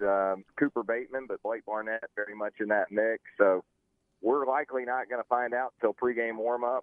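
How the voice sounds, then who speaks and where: A man at medium pitch talks in a normal speaking voice, keeping a moderate speed and fairly even intonation. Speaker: college football writer. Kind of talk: radio interview about sports.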